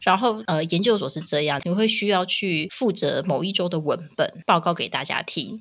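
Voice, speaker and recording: A woman speaks in an animated tone at a medium pitch and a moderate pace. Her pitch varies in an ordinary way, with hardly any pauses. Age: 30s. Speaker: podcast co-host, mother. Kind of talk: casual chat. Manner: animated, frequent laughter.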